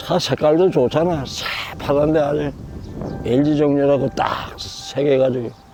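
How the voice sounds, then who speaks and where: Over background music, a man with a fairly high pitch and fairly even intonation speaks at a very slow pace. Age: 80s+. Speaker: retired driver. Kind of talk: interview answer. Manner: plain, unpolished speech.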